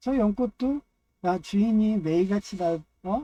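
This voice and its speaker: The speaker has a strong Chungcheong accent. The pace is very slow. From Chungcheong, Korea. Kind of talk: casual monologue. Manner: rambling, filler-heavy.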